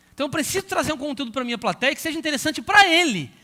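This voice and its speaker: A man talks in a raised, projected voice with lively intonation. His tone is bright and sharp. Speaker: pastor and Bible school teacher trainer. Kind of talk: lecture. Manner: fast.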